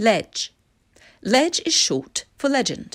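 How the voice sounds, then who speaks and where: Pitch swings very widely in this very clean recording with a silent background, spoken in a Received Pronunciation accent. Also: woman. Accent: British Received Pronunciation. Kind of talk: educational vocabulary explanation.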